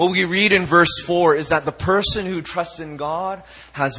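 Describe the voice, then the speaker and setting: With a bright, sharp tone, a man talks in an animated way at a moderate pace. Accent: Canadian. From Canada (Vancouver). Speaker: youth pastor. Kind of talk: sermon. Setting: church.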